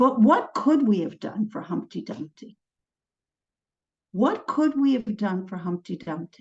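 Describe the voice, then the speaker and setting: Speaking with an American accent, a woman has a medium pitch and a somewhat breathy voice. Her intonation is lively and her pace moderate. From United States. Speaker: trauma psychologist. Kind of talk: lecture.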